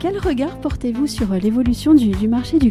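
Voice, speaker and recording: Lively intonation over music in the background. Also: woman. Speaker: podcast host. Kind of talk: interview questions.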